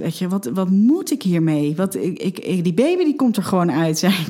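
Over noticeable background noise, a woman at medium pitch speaks at a fairly slow pace with lively intonation. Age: 30s. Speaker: mother telling her birth story. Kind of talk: personal testimony interview. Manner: halting, many fillers.

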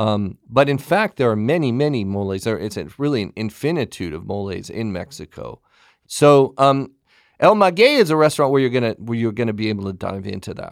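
This man talks fairly quickly with an American accent, lively intonation, and big swings in loudness. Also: medium pitch for a man, very clean recording, silent background. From Southern California, Pasadena area. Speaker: food magazine editor and author. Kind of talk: podcast interview.

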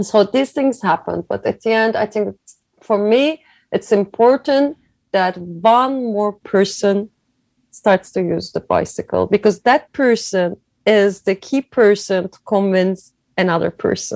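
A woman with a Turkish accent, medium pitch and a fairly slow pace, her loudness swinging widely, recorded dry and close with no echo on a very clean, silent background. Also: ordinary pitch variation. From Turkey (Izmir). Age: 40s. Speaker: cycling event founder. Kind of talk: interview. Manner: halting.

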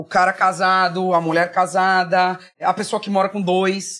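In a very clean recording with a silent background, a woman speaks at a fairly slow pace. Her medium-pitched voice stays monotone and flat. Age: 40s. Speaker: marketing executive. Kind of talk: interview.

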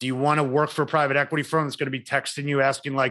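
A man's bright, sharp, fairly high voice in a flat monotone, delivered very fast against a quiet background. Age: 40s. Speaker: podcast host. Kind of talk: interview. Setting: video call.

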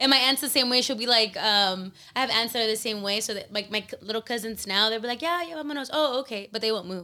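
Loud and very fast, a woman talks with hardly any pauses, a fairly high pitch, a bright, sharp tone and ordinary pitch variation. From Mexican family (Guerrero roots). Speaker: mother and gym event organizer. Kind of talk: casual chat. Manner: laughs loudly.

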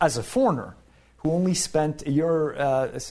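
A man with an unremarkable speaking voice, fairly high in pitch, talks with lively intonation. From Canada. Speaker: professor. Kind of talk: casual chat. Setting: studio.

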